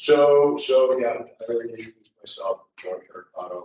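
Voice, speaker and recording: A man at a moderate pace. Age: 60s. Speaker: condominium board candidate. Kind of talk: campaign speech. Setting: public library meeting.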